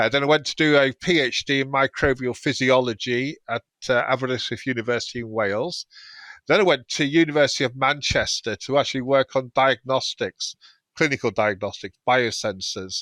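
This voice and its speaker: A man with a British accent talks at a fairly quick pace in a bright, sharp tone, the sound dry and close with no echo on a very clean recording with a silent background. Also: medium pitch for a man, ordinary pitch variation. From England. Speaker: food safety professor. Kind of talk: interview. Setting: podcast.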